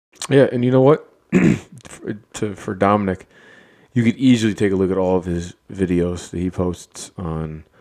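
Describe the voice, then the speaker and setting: Mumbling at a moderate pace, a man has a very deep, low pitch and a dark, mellow tone. His pitch variation is ordinary. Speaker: podcast co-host. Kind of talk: casual chat.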